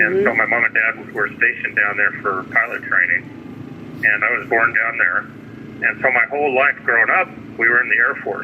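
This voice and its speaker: Noticeable background noise runs throughout. Over it, a man speaks at a moderate pace. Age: 60s. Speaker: Army veteran, retired computer engineer. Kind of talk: interview answer. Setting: phone line. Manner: rambling, hesitant.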